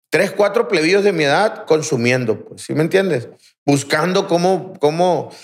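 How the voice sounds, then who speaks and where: A man talks in a normal speaking voice at a moderate pace. His fairly high pitch carries lively intonation. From Aguaruto, Culiacán, Sinaloa, Mexico. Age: 30s. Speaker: rehab center director, recovering addict. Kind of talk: testimony.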